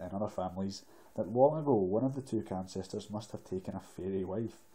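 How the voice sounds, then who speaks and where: The speaker is a man with a fairly low pitch. He talks at a fairly quick pace with ordinary pitch variation. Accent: Scottish. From Scotland. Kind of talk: ASMR book reading. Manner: soft-spoken.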